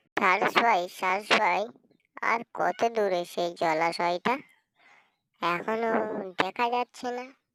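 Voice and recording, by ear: In a cartoonish character voice, a female-sounding speaker talks at a medium pitch and a fairly slow pace.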